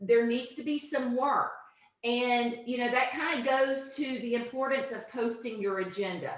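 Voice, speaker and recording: A woman's loud, high voice at a moderate pace, with ordinary pitch variation and audible room echo. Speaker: teacher trainer / instructional coach. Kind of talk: online teacher training presentation. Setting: video conference, same room as co-presenter.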